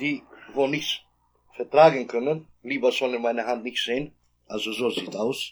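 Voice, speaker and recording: A man speaks at medium pitch. His speech has long, frequent pauses. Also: fairly even intonation, moderate pace. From Kosovo. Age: 40s. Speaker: victim of a police dog attack. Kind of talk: personal testimony. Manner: halting, non-native phrasing.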